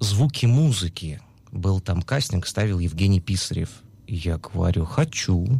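The voice is somewhat breathy and moves at a fairly slow pace. Its pitch swings very widely. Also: man. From Russia, Urals. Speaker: musical theatre actor. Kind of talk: interview. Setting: studio.

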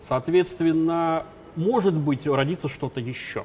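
Noticeable background noise under speech with ordinary pitch variation. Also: man. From former Soviet Union. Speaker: business trainer. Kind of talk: interview.

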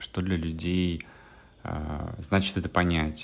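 A man with a very deep, low voice speaks at a very slow pace, his intonation fairly even. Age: 30s. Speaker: blogger and coach. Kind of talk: monologue vlog.

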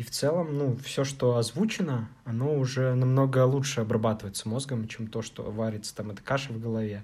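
A man with a dark, mellow, somewhat breathy tone talks at a fairly quick pace with medium pitch, fairly even intonation, and hardly any pauses. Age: 30s. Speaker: podcast co-host, programmer. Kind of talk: casual chat.

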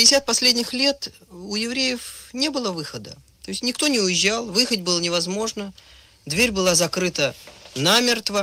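A man talks at a fairly slow pace in a high, raised, projected voice with lively intonation. Noticeable background noise is present. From Soviet Union, Moscow. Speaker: writer and screenwriter, recent emigrant. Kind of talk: radio interview.

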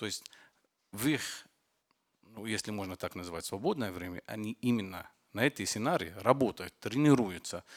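A man's fairly low voice with an Arabic accent and lively intonation, big swings in loudness, a moderate pace and long, frequent pauses, on a very clean recording with a silent background and a dry, close sound with no echo. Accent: Arabic-accented Russian. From Lebanon. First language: Arabic (speaking Russian). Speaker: film director and war correspondent. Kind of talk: panel discussion.

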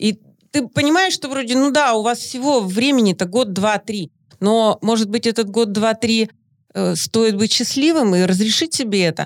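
On a very clean recording with a silent background, a woman with an unremarkable speaking voice talks at a moderate pace, pitched fairly high, with lively intonation. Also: very even loudness, dry, close sound with no echo. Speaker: mother and podcast co-host. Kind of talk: casual chat.

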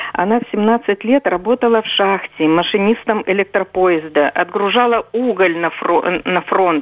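A woman's ordinary speaking voice at a medium pitch. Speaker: caller. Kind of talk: testimony. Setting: phone call.

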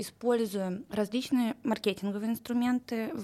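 A woman speaks at a moderate pace with ordinary pitch variation. She has a plain, everyday voice. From Russia, Saint Petersburg. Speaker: recruitment manager. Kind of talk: interview.

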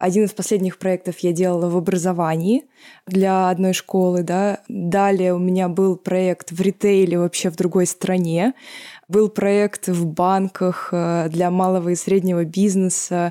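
At a fairly slow pace, a woman speaks in a medium pitch with a dark, mellow tone and monotone, flat intonation, recorded very cleanly against a silent background. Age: 20s. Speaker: management consultant. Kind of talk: podcast discussion.

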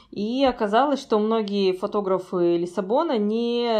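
A woman's fairly high voice with lively intonation. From Kazakhstan. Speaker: emigrant photographer. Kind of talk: casual interview. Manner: animated.

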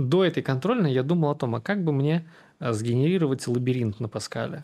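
A dark, mellow tone with ordinary pitch variation over a quiet background. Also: man. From Russia, Samara. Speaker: tech executive. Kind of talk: interview.

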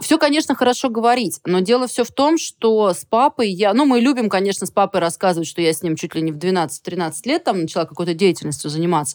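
A woman talks at a very fast pace with hardly any pauses, her medium pitch swinging very widely. The recording is very clean and dry, close with no echo, over a silent background. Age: 40s. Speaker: equestrian sport official. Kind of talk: casual chat.

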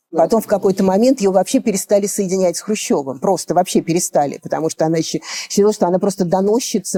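A woman with a fairly low pitch and ordinary pitch variation is heard in a dry, close sound with no echo, though noticeable background noise comes through. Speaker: granddaughter of Khrushchev. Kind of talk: interview recollection.

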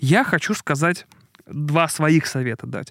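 A man's animated tone in a very clean recording with a silent background. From Russia, Murmansk region. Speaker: podcaster and former journalist. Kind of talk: casual podcast chat. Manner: animated, digressive storyteller.

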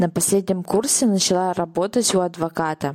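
A woman speaks in a dark, mellow tone at a fairly slow pace. The sound is dry and close, with no echo. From Saint Petersburg, Russia. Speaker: podcast host, sales funnel expert. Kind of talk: personal introduction monologue.

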